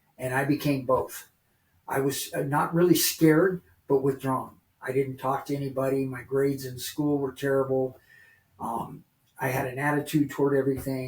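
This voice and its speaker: A man speaks at a moderate pace with a fairly high pitch. His voice is somewhat breathy, with monotone, flat intonation. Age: 60s. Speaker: recovering addict. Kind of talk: testimony.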